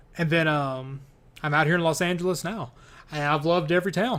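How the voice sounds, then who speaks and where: Very fast speech with ordinary pitch variation and a slight Kentucky accent plays on a very clean recording with a silent background. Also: man. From US, Kentucky. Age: 30s. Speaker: gaming YouTuber and game developer. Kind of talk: casual Q&A chat.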